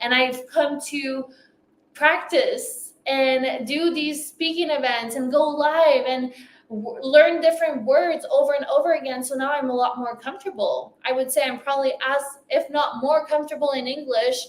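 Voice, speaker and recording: This woman has a high-pitched voice with a slight French accent. Her pitch varies in an ordinary way. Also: moderate pace. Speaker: business coach. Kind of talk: motivational talk.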